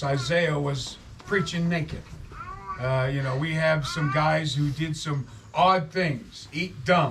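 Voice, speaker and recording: This man's voice sits fairly high, with ordinary pitch variation, and noticeable background noise is heard behind it. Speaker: street preacher. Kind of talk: casual storytelling to an audience. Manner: conversational, folksy, earnest.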